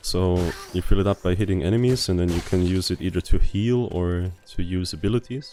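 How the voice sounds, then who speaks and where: With a non-native accent, a man speaks at a fairly quick pace in a very deep, low pitch with ordinary pitch variation as music plays in the background. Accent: non-native accent, self-noted. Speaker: gaming YouTuber. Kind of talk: game commentary. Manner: relaxed, laid back.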